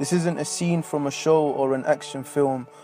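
Music plays in the background as a man speaks. His pitch is fairly high, and his intonation stays fairly even. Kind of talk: spoken word poetry.

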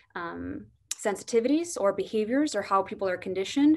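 Over a quiet background, a woman with an American accent speaks at a fairly quick pace and a medium pitch. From US Midwest. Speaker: corporate diversity manager; panelist. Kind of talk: webinar panel discussion. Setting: video call. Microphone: video call.

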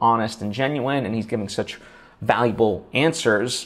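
Ordinary pitch variation shapes this man's speech. He keeps a moderate pace. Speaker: podcasting coach. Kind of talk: tutorial. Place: home room. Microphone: lapel.

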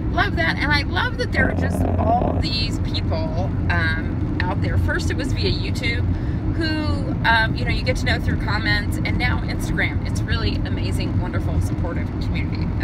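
A woman talks at a moderate pace over loud background noise. The sound is dry, with no echo. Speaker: vlogger. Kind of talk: casual vlog monologue. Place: car. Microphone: phone near.

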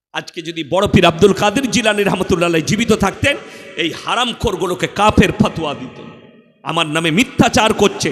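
Amid noticeable background noise, a man with a high pitch speaks in an animated tone with big swings in loudness and ordinary pitch variation. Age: 30s. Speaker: Islamic preacher. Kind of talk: sermon.

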